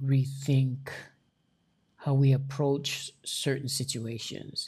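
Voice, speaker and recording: Somewhat breathy, a man speaks at a medium pitch. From outside the US. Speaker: podcast host. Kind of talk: casual interview.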